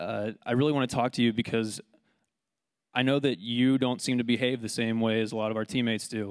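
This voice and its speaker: With an unremarkable speaking voice, a man talks at a fairly quick pace and medium pitch, with fairly even intonation and an American accent. The recording is very clean, with a silent background. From United States. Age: 20s. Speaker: preacher. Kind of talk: sermon.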